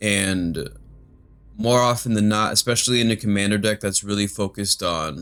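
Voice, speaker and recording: Music plays in the background as a man talks at a moderate pace. His voice is fairly low, with fairly even intonation. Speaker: magic card game youtuber. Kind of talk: gameplay commentary. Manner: monotone.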